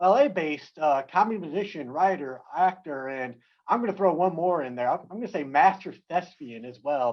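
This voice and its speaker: A man with a plain, everyday voice and fairly high pitch talks at a fairly quick pace with lively intonation. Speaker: event host. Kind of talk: casual welcome to an online event audience.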